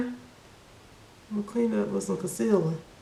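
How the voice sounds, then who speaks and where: A very fast American accent amid audible room echo and noticeable background noise. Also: woman. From US South, Birmingham, Alabama. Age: 30s. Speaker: makeup artist and beauty YouTuber. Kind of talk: casual chat during makeup tutorial.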